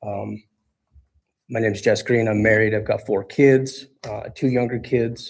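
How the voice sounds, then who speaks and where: The voice is somewhat breathy, with monotone, flat intonation. Delivery is fairly slow, broken by long, frequent pauses. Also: man, medium pitch for a man. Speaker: city council applicant. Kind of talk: interview statement. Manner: halting.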